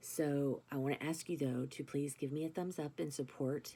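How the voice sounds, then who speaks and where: A gravelly, very deep, low female voice, dark and mellow in tone, with monotone, flat intonation. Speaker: vlogger with chronic illness. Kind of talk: casual vlog monologue. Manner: halting, many fillers.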